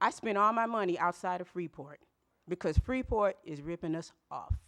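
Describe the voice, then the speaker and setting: A woman with an American accent and fairly low pitch, a plain, everyday voice at a moderate pace, with ordinary pitch variation, big swings in loudness and a dry, close sound with no echo. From US South, North Carolina. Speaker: public commenter at council meeting. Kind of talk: public comment complaint. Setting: city council meeting with audience.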